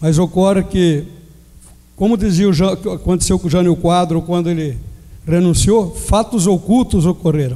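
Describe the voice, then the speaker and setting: A man's dark, mellow voice, high in pitch, with ordinary pitch variation at a moderate pace. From Jaú, São Paulo state, Brazil. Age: 60s. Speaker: mayoral candidate. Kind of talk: political debate opening statement. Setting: amphitheater debate with audience.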